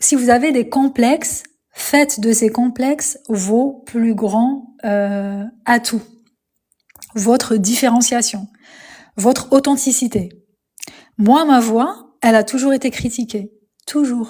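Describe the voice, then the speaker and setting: A woman talks at a high pitch in a dark, mellow tone. Her pace is very slow, with long, frequent pauses. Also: ordinary pitch variation. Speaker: spiritual coach livestreamer. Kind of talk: live stream talk. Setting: live stream. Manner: hesitant with many fillers.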